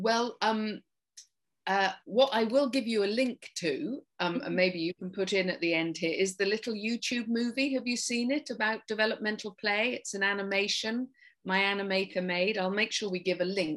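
A woman speaks in an English accent at a moderate pace. Her fairly high pitch shows ordinary variation. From England, rural farming community. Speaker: occupational therapist and play therapist. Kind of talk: interview.

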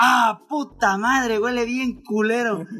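A man speaks in an animated tone while noticeable background noise runs underneath. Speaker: podcast co-host. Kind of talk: casual chat.

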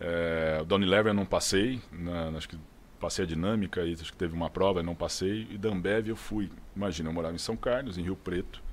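Intonation here is fairly even. The pace runs fairly quick. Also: man, very deep, low pitch for a man. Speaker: sales director. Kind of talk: casual chat.

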